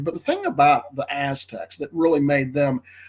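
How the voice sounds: A nasal male voice with a fairly high pitch, a slightly mellow tone and a moderate pace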